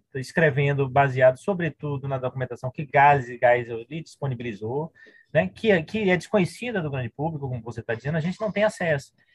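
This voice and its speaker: A man's fairly high, somewhat breathy voice at a fairly quick pace, with lively intonation and a dry, close sound with no echo. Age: 50s. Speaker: historian and university professor. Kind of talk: interview conversation.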